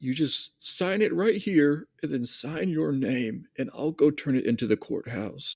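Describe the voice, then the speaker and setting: In a put-on character voice, a man speaks at a moderate pace with fairly high pitch, on a very clean recording with a silent background. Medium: actual play. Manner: warm, affectionate.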